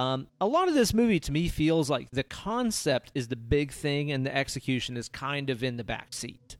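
At a moderate pace, a man with a fairly high pitch speaks with lively intonation in an unremarkable speaking voice. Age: 30s. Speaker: podcast host. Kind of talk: casual chat.

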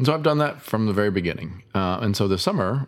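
A man with an American accent is talking. His pace is very fast. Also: very clean recording, silent background. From US Midwest. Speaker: painter. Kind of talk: casual chat.

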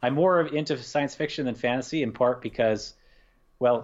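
A man with an American accent speaks at a fairly quick pace with ordinary pitch variation. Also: quiet background. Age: 40s. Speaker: painter. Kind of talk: casual chat. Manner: halting.

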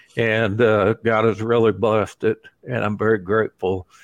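A man at medium pitch speaks at a fairly slow pace. He has an ordinary speaking voice. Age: 60s. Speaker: evangelist and prison ministry volunteer. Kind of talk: interview testimony.

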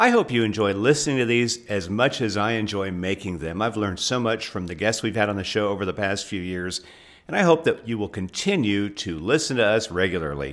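At a fairly quick pace, an unremarkable speaking voice shows ordinary pitch variation. The background is silent and the recording very clean. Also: man, fairly low pitch for a man. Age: 50s. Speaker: podcast host and HR trainer. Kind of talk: interview; podcast outro.

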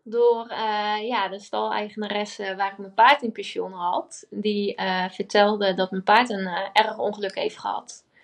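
Her loudness swings a lot as the woman talks at a fairly slow pace in a monotone, flat delivery. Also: medium pitch for a woman, quiet background. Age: 20s. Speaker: entrepreneur. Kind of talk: interview.

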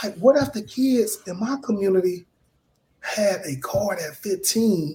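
Lively in intonation, a man with a high pitch speaks in a Southern US accent. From US South (Mobile, Alabama). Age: 30s. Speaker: real estate investor. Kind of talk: interview.

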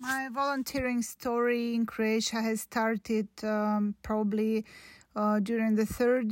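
With a Russian accent, a woman speaks fairly slowly in a monotone, flat delivery at a fairly high pitch. The recording is very clean, and the background is silent. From Russia (Podolsk near Moscow). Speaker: doctor and volunteer. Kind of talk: prepared recorded statement.

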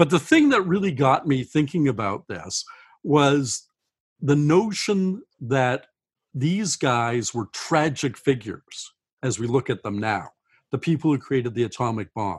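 In a quiet background, a man speaks at a fairly slow pace with lively intonation, a fairly high pitch and a somewhat breathy sound. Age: 60s. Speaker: science fiction author. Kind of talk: interview.

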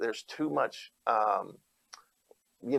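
A man with an Alabama accent. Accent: Southern US (Alabama). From Alabama, Opelika-Auburn area. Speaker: pastor and gubernatorial candidate. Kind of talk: interview.

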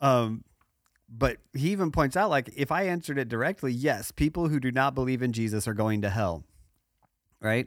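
A man with an ordinary speaking voice talks at medium pitch and a moderate pace, his intonation lively. The recording is very clean, with a silent background. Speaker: podcast co-host. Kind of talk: casual chat.

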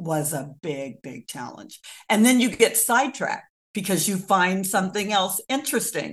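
Speaking at a fairly slow pace against a quiet background, a woman with an American accent uses lively intonation in an unremarkable speaking voice. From US Midwest, rural Kansas. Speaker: local historian and author. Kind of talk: interview.

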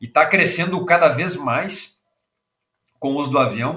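A man uses an ordinary speaking voice, talking fairly slowly with ordinary pitch variation. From southern Brazil, Rio Grande do Sul. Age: 40s. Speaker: agricultural aviation industry executive. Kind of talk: interview.

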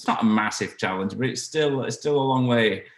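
A man with a Yorkshire accent and ordinary pitch variation. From northern England, South Yorkshire. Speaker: brass band musician. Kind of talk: interview. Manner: halting.

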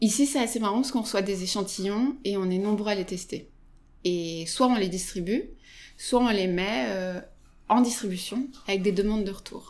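The woman's pitch is medium, with ordinary pitch variation. She talks at a moderate pace. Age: 30s. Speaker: retail food buyer. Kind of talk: interview. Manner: hesitant, many fillers.

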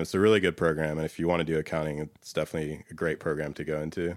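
A man with an American accent and a very deep, low pitch talks at a very fast pace with fairly even intonation, recorded very cleanly against a silent background. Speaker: data consultant. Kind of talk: casual interview. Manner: laid back.

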